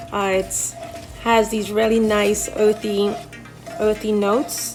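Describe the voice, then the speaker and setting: Background music plays while a woman talks. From Saint Lucia. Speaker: chef. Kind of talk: cooking demonstration.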